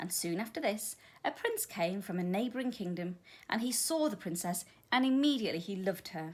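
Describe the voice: The plain reading aloud carries lively intonation.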